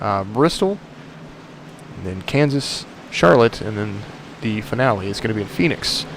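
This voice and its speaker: Long, frequent pauses break up the speech amid noticeable background noise. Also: man, fairly low pitch for a man, ordinary pitch variation, moderate pace. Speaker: sim racing commentator. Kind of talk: live commentary.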